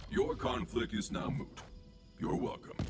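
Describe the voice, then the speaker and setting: A man performs a put-on character voice. Clear background noise can be heard behind him. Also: moderate pace. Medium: video game. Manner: formal, stiff, dry.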